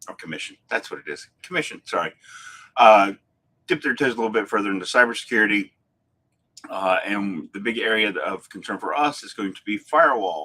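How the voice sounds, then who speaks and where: Moving at a fairly quick pace, a man with a fairly low, bright, sharp voice shows ordinary pitch variation and big swings in loudness. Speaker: IT services host. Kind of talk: live business tech talk. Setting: live stream. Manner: fast; hesitant, many fillers.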